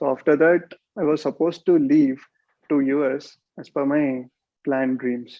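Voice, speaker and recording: A man's fairly high voice at a moderate pace, with fairly even intonation and long, frequent pauses. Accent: Indian. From India, Hyderabad. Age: 30s. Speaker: meditation teacher. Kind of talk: talk on meditation.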